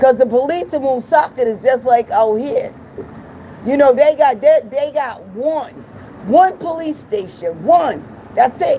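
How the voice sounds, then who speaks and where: A woman with an American accent speaks at a fairly slow pace, her pitch high and her intonation lively. Her tone is animated, with noticeable background noise behind her. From Providence, Rhode Island, US. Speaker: live streamer. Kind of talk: casual chat.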